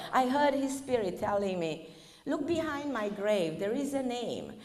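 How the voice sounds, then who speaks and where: A woman with a Romanian accent, high in pitch, at a fairly slow pace, with very wide pitch swings. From Romania (northern Transylvania). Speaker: spiritual speaker. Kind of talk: lecture.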